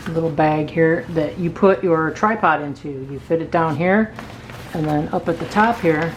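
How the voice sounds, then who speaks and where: Noticeable background noise surrounds a woman speaking at a moderate pace. Her pitch is fairly low, with ordinary pitch variation. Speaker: product reviewer. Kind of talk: product review tutorial. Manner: casual, hesitant with fillers.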